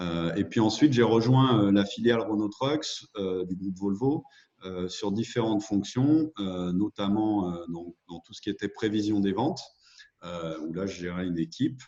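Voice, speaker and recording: A man's dark, mellow tone at a fairly slow pace, with big swings in loudness. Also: fairly low pitch for a man, ordinary pitch variation. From France, Lyon region (Beaujolais). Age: 30s. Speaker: entrepreneur, former corporate manager. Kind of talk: interview. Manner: halting, many hesitations.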